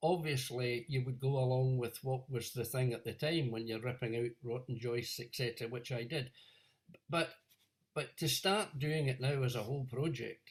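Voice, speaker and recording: Intonation stays fairly even in this somewhat breathy voice. Its pace is moderate. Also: man, medium pitch for a man. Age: 70s. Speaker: audience member asking question. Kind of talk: audience question.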